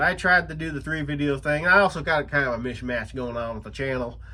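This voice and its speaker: Bright and sharp in tone, a man talks with lively intonation at a fairly high pitch. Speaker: YouTuber and self-published novelist. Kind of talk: casual vlog talk. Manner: halting, many fillers and restarts.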